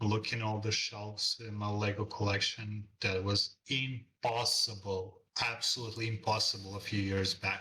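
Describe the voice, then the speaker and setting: A man with a non-native accent speaks at a moderate pace and fairly low pitch, with hardly any pauses. His tone is bright and sharp, his intonation monotone and flat, and his loudness very even. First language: not English. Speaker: freelance illustrator. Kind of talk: interview. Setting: call.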